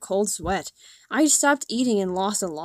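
Lively intonation in an unforced reading voice

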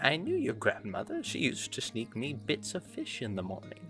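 A man's put-on character voice at a moderate pace with clear music in the background. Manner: silly, goofy.

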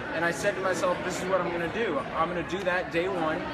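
A man talking at a fairly quick pace with an American accent, amid loud background noise. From Texas. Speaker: environmental filmmaker. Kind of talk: casual interview. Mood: earnest, persuasive. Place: hall. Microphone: phone near.

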